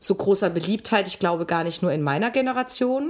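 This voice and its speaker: A woman speaks in a normal speaking voice at a medium pitch. Her pace is moderate and her pitch variation ordinary. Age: 50s. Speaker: podcast co-host. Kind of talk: casual chat.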